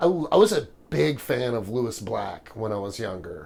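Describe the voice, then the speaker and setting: This is a man speaking. He has an American accent. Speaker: stand-up comedian. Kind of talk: interview. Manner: loud; halting.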